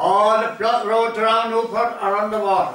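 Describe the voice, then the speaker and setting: A raised, projected voice with an Irish accent carries audible room echo. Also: man. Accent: rural Irish (Limerick). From Ireland, County Limerick; Ireland. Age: 80s+. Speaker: storyteller. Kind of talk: storytelling. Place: home room.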